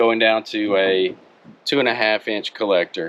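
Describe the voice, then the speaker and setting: The speaker is a man with a Mississippi accent. His intonation stays fairly even. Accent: US Southern (Mississippi). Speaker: car hobbyist YouTuber. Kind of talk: product review. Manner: casual, conversational.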